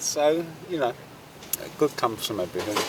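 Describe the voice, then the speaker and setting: A man with a London accent talks at a moderate pace in a fairly high voice with ordinary pitch variation. Noticeable background noise can be heard. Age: 70s. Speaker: coffee seller. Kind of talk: casual chat.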